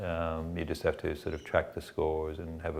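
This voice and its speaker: This man has a very deep, low voice and speaks in a monotone, flat way. His pace is fairly quick. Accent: Canadian. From Canada. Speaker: former club volunteer and parent. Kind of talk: interview testimony. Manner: hesitant, many fillers.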